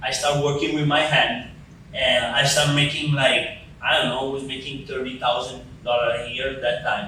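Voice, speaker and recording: Delivered at a moderate pace in a monotone, flat intonation, the speech carries audible room echo and noticeable background noise. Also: man. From Italy. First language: Italian. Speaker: podcast host and construction entrepreneur. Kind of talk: podcast interview.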